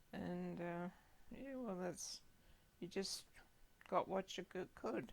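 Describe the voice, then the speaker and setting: A woman talks with lively intonation. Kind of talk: oral history interview answer.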